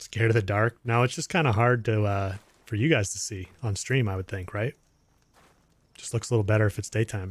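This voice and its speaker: A somewhat breathy man with a fairly low pitch and ordinary pitch variation at a fairly quick pace, dry and close with no echo, on a very clean recording with a silent background. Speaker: gaming streamer. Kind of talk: live stream commentary. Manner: casual, relaxed.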